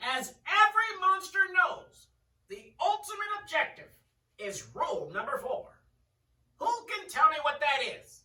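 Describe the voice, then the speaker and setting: At a fairly slow pace, this put-on character voice sits at an extremely high pitch. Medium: read story. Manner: formal, instructive.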